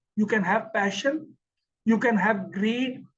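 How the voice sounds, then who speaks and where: The speaker is a man. He has an Indian accent. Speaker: English teacher. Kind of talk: lecture. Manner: slow with pauses.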